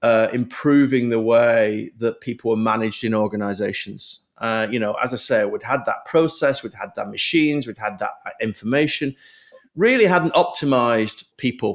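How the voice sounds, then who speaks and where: The speaker talks with a British accent at a moderate pace. Pitch variation is ordinary, and the recording is very clean with a silent background. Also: man, medium pitch for a man. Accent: British accent, kept. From UK. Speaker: HR executive and business founder. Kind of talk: podcast interview.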